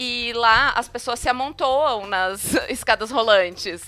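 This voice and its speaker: A woman with a high pitch raises and projects her voice, using lively intonation. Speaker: podcast host. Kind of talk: casual chat.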